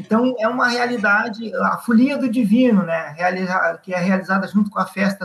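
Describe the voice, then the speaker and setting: A high-pitched man's voice at a moderate pace, with fairly even intonation. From Rio Grande do Sul, Viamão. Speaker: rural union leader and farmer. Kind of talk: interview. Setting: video call.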